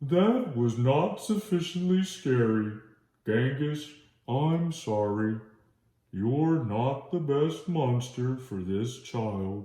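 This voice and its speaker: Putting on a character voice at a medium pitch, a man speaks at a very slow pace with a slight echo. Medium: read story. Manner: formal, instructive.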